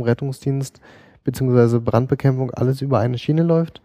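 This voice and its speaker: A man speaks in a dark, mellow tone at a moderate pace. The sound is dry and close, with no echo. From eastern Germany. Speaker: paramedic. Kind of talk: casual interview. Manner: hesitant, many filler sounds.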